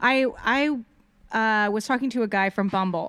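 A woman uses a plain, everyday voice at a moderate pace with ordinary pitch variation on a very clean recording with a silent background. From Texas, Austin. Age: 30s. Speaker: podcast guest. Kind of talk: casual chat.

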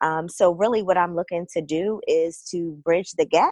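A woman with a Baltimore accent talks at a moderate pace and fairly low pitch. The sound is dry and close, with no echo. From Baltimore, Maryland.

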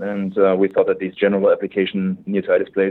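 A man with a German accent at a fairly quick pace. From Germany. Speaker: tech startup founder. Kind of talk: interview. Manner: halting, many filler words.

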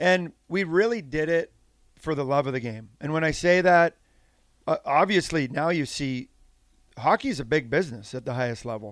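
Here a man has an unremarkable speaking voice with lively intonation and a moderate pace. The recording is very clean, with a silent background. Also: fairly high pitch for a man. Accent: Canadian. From Saskatchewan, Canada. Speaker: former pro hockey player and coach. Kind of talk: casual chat.

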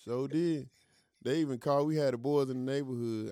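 The pace is very fast. It is a man talking. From US South, eastern North Carolina. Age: 30s. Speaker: musician. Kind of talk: casual chat.

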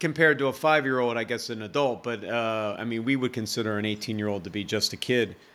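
A man with an American accent at a very fast pace with hardly any pauses, medium pitch and ordinary pitch variation, on a very clean recording with a silent background. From USA. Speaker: nurse, army veteran and vegan author. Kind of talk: casual interview chat.

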